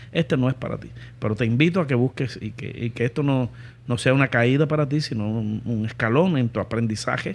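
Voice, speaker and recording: The voice is somewhat breathy. Its pitch varies in an ordinary way. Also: man. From Cuba. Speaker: entrepreneur. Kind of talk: interview.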